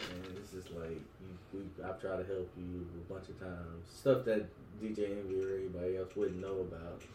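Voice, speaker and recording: A man's very deep, low voice with a dark, mellow tone, somewhat breathy, in an American accent, at a fairly quick pace, monotone and flat in intonation, with big swings in loudness and audible room echo. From West Virginia. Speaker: podcast co-host. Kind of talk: casual chat.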